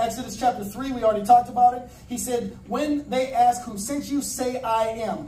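A woman's high-pitched voice at a moderate pace, with ordinary pitch variation, over noticeable background noise. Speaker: pastor. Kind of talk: sermon. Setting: church. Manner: animated.

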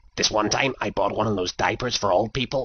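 In a cartoonish character voice, a man speaks with fairly low pitch and an amused tone. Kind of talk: comic overacting, dumb cartoon teen. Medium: comedy sketch. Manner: giggly, dopey, easily amused.

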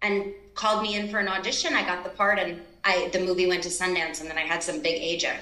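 A woman talks at a fairly quick pace, and her voice carries audible room echo. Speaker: remote guest actor. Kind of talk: interview answer. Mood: animated, reflective storytelling. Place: home room. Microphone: video call.

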